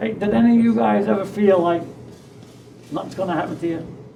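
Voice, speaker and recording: A man with a New York accent, high pitch and very wide pitch swings at a fairly quick pace, amid noticeable background noise and audible room echo. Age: 90s. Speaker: war veteran. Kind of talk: interview testimony. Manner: animated.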